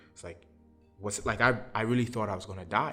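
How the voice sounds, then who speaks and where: Fairly low-pitched male speech, with music playing in the background. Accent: New York. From Brooklyn, New York. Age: 30s. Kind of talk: interview answer. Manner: conversational, personal storytelling.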